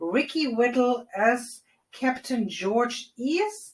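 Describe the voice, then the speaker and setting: Speaking with a strong non-native accent, a woman with a fairly high voice sounds upbeat, her pitch varying in an ordinary way. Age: 40s. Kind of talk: casual movie review to camera. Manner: chatty, upbeat.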